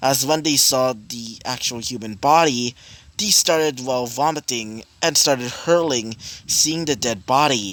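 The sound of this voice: Ordinary pitch variation marks an unforced reading voice.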